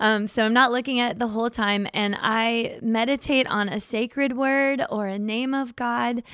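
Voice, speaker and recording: A woman's ordinary speaking voice, fairly high in pitch, with fairly even intonation, a moderate pace and hardly any pauses. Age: 40s. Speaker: therapist. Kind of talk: casual chat.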